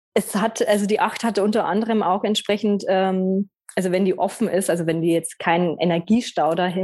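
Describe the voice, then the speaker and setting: This woman uses a normal speaking voice at a medium pitch. Her pace is moderate and her pitch varies in an ordinary way. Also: hardly any pauses, very even loudness. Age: 30s. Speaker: personality trainer and numerologist. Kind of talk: casual interview.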